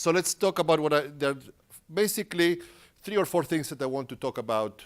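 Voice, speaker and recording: With a Spanish accent, a man talks using ordinary pitch variation in a very clean recording against a silent background. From Uruguay. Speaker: tech company engineer presenting at a conference. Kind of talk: conference talk. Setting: stage with audience.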